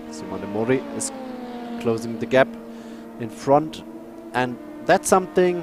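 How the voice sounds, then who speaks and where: Through noticeable background noise, a man talks at a fairly slow pace and medium pitch, with very wide pitch swings and long, frequent pauses. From Germany. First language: German. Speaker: sim racing commentator. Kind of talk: live commentary. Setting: live stream. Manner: halting.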